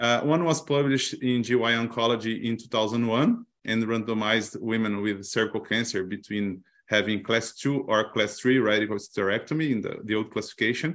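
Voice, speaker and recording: Speaking with a Portuguese accent, a man keeps a fairly quick pace and fairly even intonation. The background is quiet. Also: medium pitch for a man, hardly any pauses. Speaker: gynecologic oncologist researcher.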